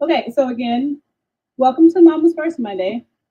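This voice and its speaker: A woman's lively intonation at a moderate pace. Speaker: mom life coach and live show host. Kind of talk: live stream talk to viewers. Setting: live video stream.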